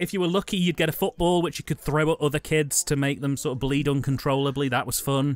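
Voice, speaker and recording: A man talks very fast at a fairly high pitch. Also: ordinary pitch variation, hardly any pauses. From England. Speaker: film commentary podcast co-host. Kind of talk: casual chat.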